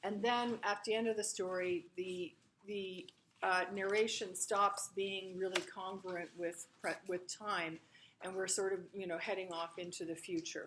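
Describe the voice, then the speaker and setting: Loud and monotone, a woman with a medium pitch speaks at a fairly slow pace. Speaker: literature instructor. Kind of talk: lecture. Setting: classroom. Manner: projecting loudly.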